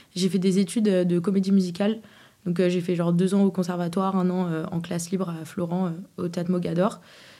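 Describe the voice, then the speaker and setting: A woman at a medium pitch and fairly quick pace, in a dark, mellow tone with monotone, flat intonation. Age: 20s. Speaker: singer. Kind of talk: casual chat.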